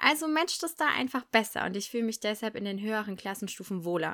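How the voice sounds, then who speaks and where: A woman's fairly high, bright and sharp voice with an animated tone, very wide pitch swings and a fairly quick pace, in a very clean recording with a silent background. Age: 20s. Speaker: primary school teacher, podcast host. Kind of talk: solo podcast monologue. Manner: animated, laughing often.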